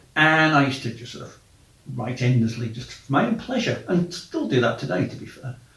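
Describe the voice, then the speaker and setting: Male voice with audible room echo. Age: middle-aged. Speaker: travel podcaster and blogger. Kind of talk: casual monologue.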